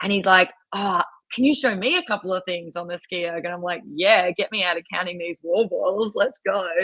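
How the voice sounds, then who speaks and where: With an Australian accent, a woman is talking. She keeps a fairly quick pace. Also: medium pitch for a woman. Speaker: rowing and ski erg coach. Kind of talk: podcast interview, casual chat. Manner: animated.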